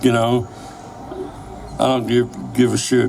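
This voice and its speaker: Medium-pitched male voice, monotone and flat, at a fairly slow pace over noticeable background noise. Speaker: former Chicano activist. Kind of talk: interview answer, personal recollection.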